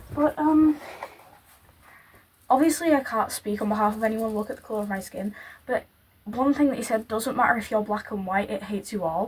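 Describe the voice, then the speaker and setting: The speaker talks at a fairly quick pace in a Yorkshire accent, with ordinary pitch variation and long, frequent pauses. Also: woman, fairly high pitch for a woman. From northern England, Yorkshire. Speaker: YouTuber. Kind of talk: casual reaction commentary.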